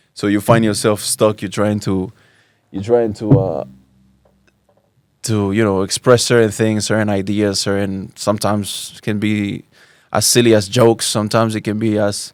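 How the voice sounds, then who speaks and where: On a very clean recording with a silent background, a man with a Spanish accent and a fairly low voice speaks in a flat monotone, pausing long and often. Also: moderate pace. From Spain, Barcelona. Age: 30s. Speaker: Islamic teacher. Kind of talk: podcast interview. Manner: halting, many repeated words.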